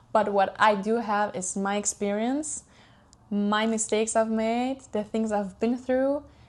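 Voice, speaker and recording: A woman's fairly high-pitched voice with fairly even intonation, in a Swiss-Italian accent. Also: fairly slow pace. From Switzerland. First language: German or Italian. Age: 20s. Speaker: podcast host. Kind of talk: casual personal monologue. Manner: warm, soft, hesitant with fillers.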